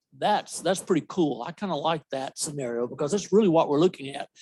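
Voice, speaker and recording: A man with a fairly high pitch and a Southern US accent. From US South. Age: old. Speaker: software company representative. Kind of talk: conference presentation. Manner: loud.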